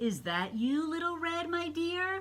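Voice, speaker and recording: A woman's put-on character voice, extremely high in pitch, with ordinary pitch variation, a fairly slow pace and light background noise. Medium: read story.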